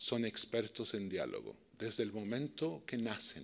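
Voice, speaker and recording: A man's lively intonation with a Chilean accent. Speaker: peace and dialogue practitioner. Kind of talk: lecture.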